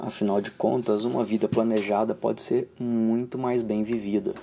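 A man speaks at a moderate pace in medium pitch. He has a plain, everyday voice. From Brazil. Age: 30s. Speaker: financial planner. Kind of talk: personal video monologue.

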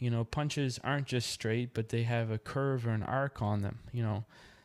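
This very clean recording with a silent background captures a man speaking at a medium pitch with fairly even intonation. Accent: Maritime Canadian. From Nova Scotia, Canada (Yarmouth). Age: 20s. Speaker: podcast host and amateur boxer. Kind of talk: solo podcast monologue. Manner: hesitant, many fillers.

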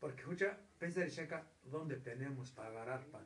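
With some room echo audible and background noise easy to hear, a man talks at a medium pace. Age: 70s. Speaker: grandparent telling family history. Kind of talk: casual chat.

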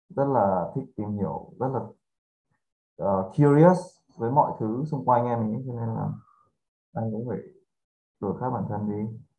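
With a dark, mellow tone, a man of medium pitch speaks at a fairly slow pace with long, frequent pauses and ordinary pitch variation. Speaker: podcast guest. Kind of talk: casual chat.

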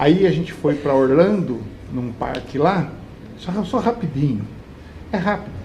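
Lively intonation carries the speech at a fairly slow pace. Long, frequent pauses break it up, and audible room echo is present. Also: man, fairly high pitch for a man. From Brazil, Barueri (São Paulo state). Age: 50s. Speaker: municipal government secretary. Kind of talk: live talk show interview.

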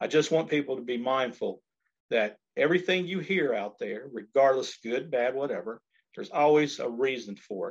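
A man with an American accent and a plain, everyday voice, medium in pitch, at a moderate pace with lively intonation. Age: 50s. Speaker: political candidate. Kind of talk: interview.

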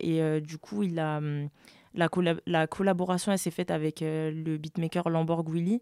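On a very clean recording with a silent background, a woman talks at a fairly slow pace with a fairly low pitch, fairly even intonation and a dark, mellow tone. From France. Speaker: pianist and music producer. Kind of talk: casual interview.

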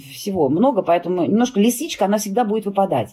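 Very fast speech from a woman at medium pitch, with lively intonation and a dark, mellow tone. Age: 50s. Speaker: fur industry expert and brand owner. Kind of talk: interview.

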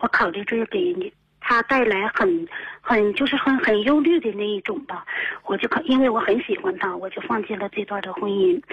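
A woman's fairly high voice with very wide pitch swings, at a fairly quick pace. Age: 30s. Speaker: radio call-in listener. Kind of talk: call-in advice conversation. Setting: phone call. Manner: fast, rapid-fire; halting, many fillers.

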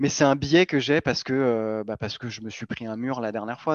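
A man with a normal speaking voice talks at a fairly quick pace and medium pitch, his pitch variation ordinary, the sound dry and close with no echo over a quiet background. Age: 30s. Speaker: crypto newsletter co-founder. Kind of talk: interview.

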